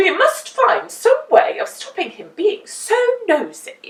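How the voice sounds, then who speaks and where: A woman's put-on character voice, extremely high-pitched, with very wide pitch swings and a fairly slow pace. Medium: read story.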